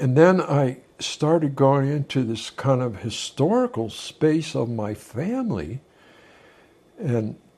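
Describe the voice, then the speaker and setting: A man's medium-pitched, dark and mellow voice, somewhat breathy, with very wide pitch swings. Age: 80s+. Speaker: former beatnik and band manager. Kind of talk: interview answer.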